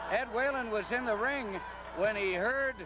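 An excited man with an extremely high pitch speaks at a fairly slow pace in a raised, projected voice with ordinary pitch variation. Music plays in the background. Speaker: wrestling color commentator. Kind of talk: live wrestling commentary. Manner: analytical, emphatic, excited as action builds.

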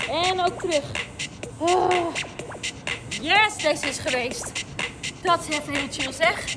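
Music plays behind a woman speaking at a very slow pace. Her pitch varies in an ordinary way. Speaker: fitness coach. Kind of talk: live workout coaching in Dutch. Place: street.

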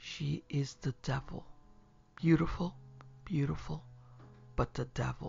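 A man puts on a character voice with a slightly mellow tone, a husky, rough edge and vocal fry. His pitch is fairly high with fairly even intonation at a slow pace.

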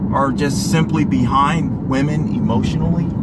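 Loud background noise fills the recording. Over it, a man speaks at a fairly slow pace. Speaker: live stream host. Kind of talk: casual livestream interview questions. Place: car. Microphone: phone near.

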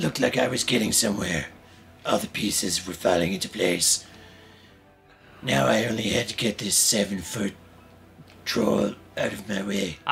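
A man's put-on character voice, fairly low in pitch with ordinary pitch variation, at a moderate pace with long, frequent pauses over clear music in the background. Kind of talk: noir inner monologue.

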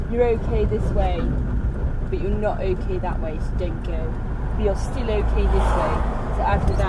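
The speech moves at a moderate pace against loud background noise. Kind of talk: casual vlog chat. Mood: teasing, playful. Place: car. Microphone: phone near.

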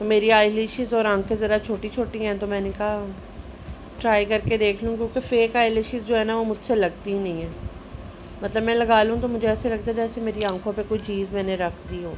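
A woman talks with music playing in the background. Her intonation stays monotone and flat. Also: moderate pace. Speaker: home vlogger. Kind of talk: casual product haul talk. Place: home room. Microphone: phone near.

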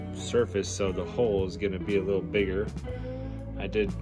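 A man talks at a moderate pace with loud music in the background. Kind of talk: casual DIY commentary. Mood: frustrated, unimpressed. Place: garage. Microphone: phone near.

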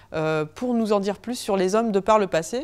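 Against a quiet background, a woman talks in a fairly high voice with ordinary pitch variation. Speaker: archaeologist researcher; archaeology researcher giving public lecture. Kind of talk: public lecture. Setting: lecture hall with audience, no microphone. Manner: fast; hesitant, many fillers. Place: hall.

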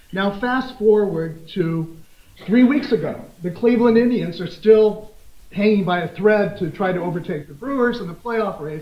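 Moderate pace in an American accent, with big swings in loudness and audible room echo. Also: man, high pitch for a man, ordinary pitch variation. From US Midwest, Des Moines, Iowa; Iowa. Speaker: law professor. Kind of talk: conference lecture. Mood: lively anecdote, humorous. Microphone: podium.

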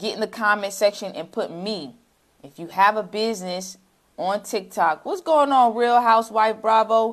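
Against a quiet background, a woman talks at a fairly slow pace in an animated tone, with a medium pitch and ordinary pitch variation. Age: 30s. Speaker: social media marketing coach. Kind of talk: livestream sales pitch. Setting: livestream. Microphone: lapel.

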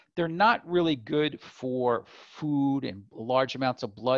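A man with vocal fry speaks at medium pitch with ordinary pitch variation.

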